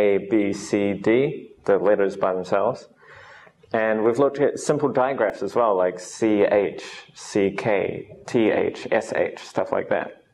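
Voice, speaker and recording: Over light background noise, a man with a New Zealand accent speaks at a fairly slow pace. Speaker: English teacher. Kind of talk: lecture. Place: classroom.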